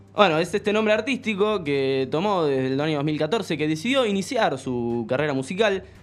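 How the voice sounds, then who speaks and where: The speech moves at a moderate pace with very wide pitch swings and hardly any pauses, against noticeable background noise. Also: man, fairly high pitch for a man. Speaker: podcast host. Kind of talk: casual chat.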